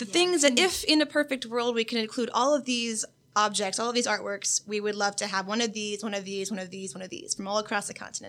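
With an American accent and a fairly high pitch, a woman races along at a very fast pace, using lively intonation and hardly any pauses. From Florida. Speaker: undergraduate art history student. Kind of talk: podcast conversation.

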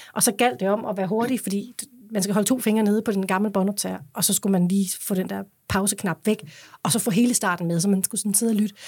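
Very fast and somewhat breathy, a woman speaks at a medium pitch with fairly even intonation in a very clean recording with a silent background. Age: 40s. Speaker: singer. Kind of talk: interview.

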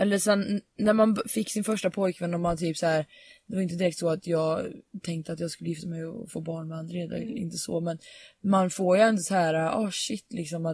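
Somewhat breathy, a woman talks at a fairly quick pace with fairly even intonation. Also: fairly low pitch for a woman. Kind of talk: casual chat.

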